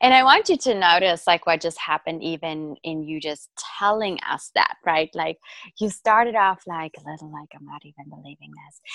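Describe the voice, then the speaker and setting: At a moderate pace, a woman with a fairly low pitch and ordinary pitch variation speaks in a bright, sharp tone with big swings in loudness and a dry, close sound with no echo. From South Africa. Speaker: business coach. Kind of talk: interview.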